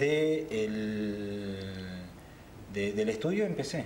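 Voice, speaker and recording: Fairly low-pitched male voice with lively intonation, light background noise and audible room echo. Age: 30s. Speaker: tattoo artist; TV guest. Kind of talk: TV interview. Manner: halting. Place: studio.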